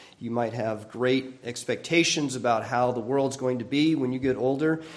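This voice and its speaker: A man at a medium pitch is heard with audible echo from the room. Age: 60s. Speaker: pastor. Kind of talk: sermon.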